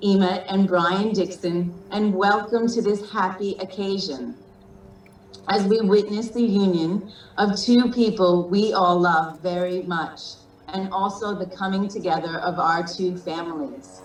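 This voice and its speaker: Someone with an Australian accent speaks fairly slowly with ordinary pitch variation, in audible room echo and noticeable background noise. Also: woman. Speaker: wedding officiant, sibling of the groom. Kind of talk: wedding ceremony address. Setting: video call.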